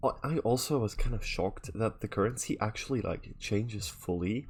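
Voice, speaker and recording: A man at medium pitch and a moderate pace, with ordinary pitch variation and music in the background. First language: Dutch. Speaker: video game streamer. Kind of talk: live gameplay stream commentary. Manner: casual, thinking aloud with fillers.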